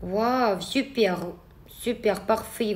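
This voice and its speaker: A woman with a non-native accent, fairly high in pitch, at a very slow pace. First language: not French (speaking French). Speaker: eyelash extension trainer. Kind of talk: live stream Q&A tutorial. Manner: hesitant, with fillers.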